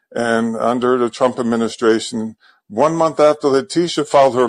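A man speaks in an ordinary speaking voice at a medium pitch. His pitch varies in an ordinary way, and his pace is moderate. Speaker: caller, abuse victims advocate. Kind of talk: phone call-in. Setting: phone call.

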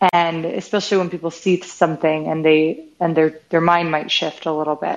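Speaking with an American accent, a woman uses a fairly low pitch and fairly even intonation. It is an ordinary speaking voice. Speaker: startup CEO and founder. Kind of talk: interview.

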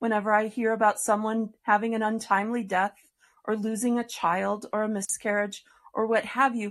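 At a moderate pace against a quiet background comes an unremarkable speaking voice. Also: woman. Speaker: podcast host. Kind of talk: interview chat with religious tone. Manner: warm, earnest.

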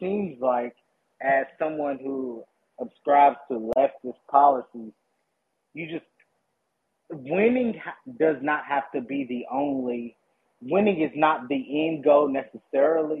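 A man with a Southern US accent speaks at a very slow pace with long, frequent pauses. His pitch is fairly high, with ordinary pitch variation. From US South, Kentucky. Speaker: caller, former local candidate. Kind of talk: call-in discussion.

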